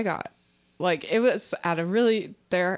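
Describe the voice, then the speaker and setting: A woman talks at a fairly slow pace in a normal speaking voice with medium pitch. The recording is very clean, with a silent background. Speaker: comedian. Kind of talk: casual chat.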